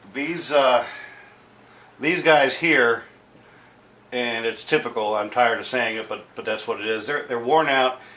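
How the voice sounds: At a fairly slow pace with long, frequent pauses, a bright, sharp voice shows ordinary pitch variation amid audible room echo. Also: man, medium pitch for a man.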